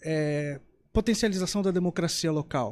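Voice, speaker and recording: A man's fairly high, ordinary speaking voice at a moderate pace, on a very clean recording with a silent background. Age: 30s. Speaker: mayoral candidate. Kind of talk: political interview. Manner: formal.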